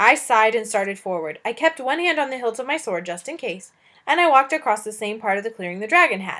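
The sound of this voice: This is an unforced reading voice. It reads throughout.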